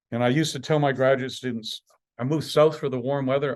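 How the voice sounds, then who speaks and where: In a Canadian accent, a man with an unremarkable speaking voice and medium pitch talks at a fairly quick pace against a quiet background. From Canada, Saskatchewan (Estevan). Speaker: professor. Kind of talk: lecture.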